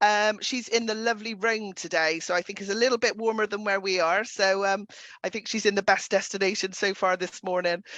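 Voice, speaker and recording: A woman speaks at a fairly quick pace in an upbeat, bright, sharp tone. The sound is dry and close with no echo, and the background is quiet. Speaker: travel trade webinar host. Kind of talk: webinar presentation.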